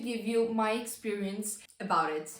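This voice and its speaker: A woman speaks very slowly with a non-native accent. Audible room echo surrounds her voice. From non-English-speaking country. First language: not English. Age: young. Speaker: vlogger. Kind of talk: casual talk to camera. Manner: halting.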